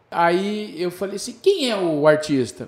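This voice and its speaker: A man is speaking. His pace is very slow. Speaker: TV presenter, former celebrity chauffeur. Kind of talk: casual chat.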